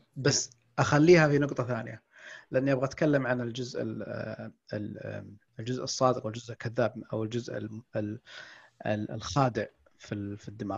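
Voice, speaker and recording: A man at a medium pitch speaks with vocal fry. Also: ordinary pitch variation, fairly slow pace. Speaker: podcast host and book-summary YouTuber. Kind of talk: casual chat.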